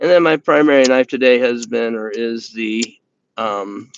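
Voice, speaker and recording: With an Indiana accent, a man speaks at a moderate pace and medium pitch, with ordinary pitch variation. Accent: Hoosier accent, slips out. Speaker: knife review YouTuber. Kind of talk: live stream chat. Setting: live stream from indoors by window. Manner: halting, many fillers and repeats.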